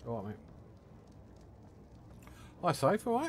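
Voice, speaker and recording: Very wide pitch swings in a somewhat breathy male voice. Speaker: streamer. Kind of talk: casual chat. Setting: live stream. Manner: calm.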